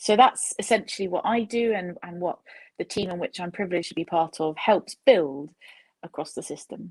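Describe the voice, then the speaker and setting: An unremarkable speaking voice moves at a moderate pace with big swings in loudness, recorded dry and close with no echo. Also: woman, medium pitch for a woman, ordinary pitch variation. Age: 30s. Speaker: data scientist. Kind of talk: panel discussion. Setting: virtual panel.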